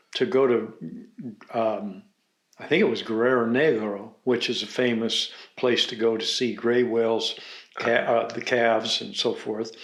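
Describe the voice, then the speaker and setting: A man's medium-pitched voice, fairly even in intonation and fairly slow, with audible room echo. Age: 70s. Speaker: organic farmer and sustainable agriculture pioneer. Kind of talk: casual chat. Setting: kitchen table at home.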